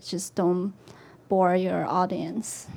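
A woman talks fairly slowly in a Chinese accent. Her medium-pitched voice stays monotone and flat. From China. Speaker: illustrator. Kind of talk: panel talk on stage.

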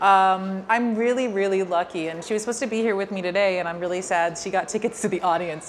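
Speaking at a very fast pace with a New York accent, this voice has hardly any pauses. Its pitch variation is ordinary. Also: woman. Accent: New York American. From New York, US. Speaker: filmmaker. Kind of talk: interview at a public Q&A.

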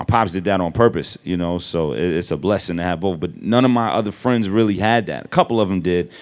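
In a New York accent, the speaker goes at a very fast pace with hardly any pauses and ordinary pitch variation. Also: man, very deep, low pitch for a man. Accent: New York hip hop. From Brooklyn, New York. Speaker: rapper. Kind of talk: live interview on stage. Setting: store stage with audience.

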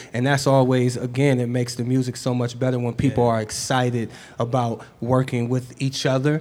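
A man with an American accent, medium in pitch, monotone and flat in intonation, at a fairly quick pace. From Cleveland, Ohio. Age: young. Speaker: rapper. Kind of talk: live on-stage interview. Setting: store stage with audience.

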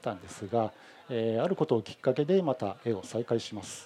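This man's dark, mellow voice sits at a medium pitch and swings very widely in pitch as he talks at a moderate pace. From Hamamatsu, Shizuoka, Japan. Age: 40s. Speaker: painter. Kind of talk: live demonstration talk. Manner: halting, many fillers.

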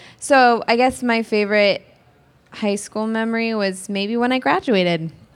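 With an American accent and ordinary pitch variation, a woman talks in a normal speaking voice. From California. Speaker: actress. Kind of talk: press junket panel.

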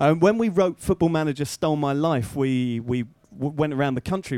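In an unremarkable speaking voice of medium pitch, a man talks at a fairly quick pace with lively intonation. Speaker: moderator. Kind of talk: live panel Q&A. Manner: self-deprecating, jokey.

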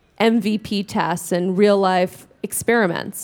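Speaking at a fairly slow pace with an American accent, a woman has an unremarkable speaking voice, a medium pitch and fairly even intonation, recorded very cleanly against a silent background. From New York. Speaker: startup co-founder. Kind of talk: panel talk.

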